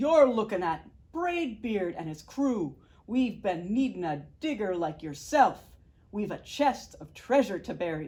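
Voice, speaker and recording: In a put-on character voice, a woman is shouting and bellowing at a fairly slow pace, her medium pitch taking very wide swings. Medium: read story. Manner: bellowing, shouting.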